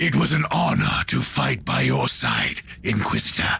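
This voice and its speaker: A man talks in a raspy, put-on character voice. Background noise is clearly audible behind him. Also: moderate pace. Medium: machinima. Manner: solemn, grim.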